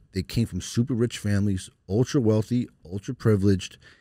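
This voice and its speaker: A man with an American accent talks at a very fast pace, fairly low in pitch, with ordinary pitch variation. His tone is dark and mellow, in a very clean recording with a silent background. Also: dry, close sound with no echo. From New York (Long Island/Brooklyn). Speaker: lawyer. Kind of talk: casual interview conversation. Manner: animated, repetitive stammering.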